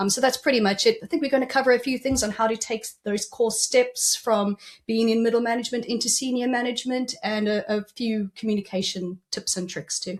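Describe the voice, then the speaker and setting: The voice carries a South African accent. It keeps a fairly quick pace and fairly even intonation. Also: woman, fairly high pitch for a woman, hardly any pauses. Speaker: executive coach. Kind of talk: podcast interview.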